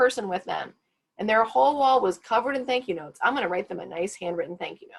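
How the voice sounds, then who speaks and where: A woman's fairly high voice with lively intonation and vocal fry. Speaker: career advisor. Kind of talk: workshop presentation. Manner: fast.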